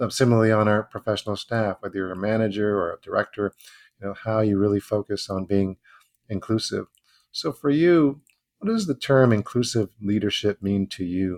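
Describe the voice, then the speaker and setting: A man's fairly low voice, an ordinary speaking voice, at a fairly quick pace with ordinary pitch variation, in a very clean, dry, close recording with no echo and a silent background. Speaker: podcast co-host. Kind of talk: podcast interview.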